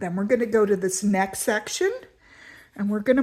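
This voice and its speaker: A woman speaks with a fairly high pitch. Her voice is somewhat breathy. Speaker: art teacher. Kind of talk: tutorial.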